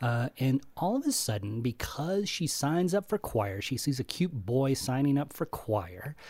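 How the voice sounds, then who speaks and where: A man's unremarkable speaking voice, fairly high in pitch, fairly slow, on a very clean recording with a silent background. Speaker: podcast co-host, film reviewer. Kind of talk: podcast panel discussion.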